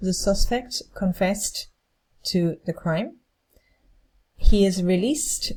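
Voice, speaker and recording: At a fairly slow pace, a woman speaks in a medium pitch. Her tone is dark and mellow and somewhat breathy. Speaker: English teacher. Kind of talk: lecture. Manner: slow, clear.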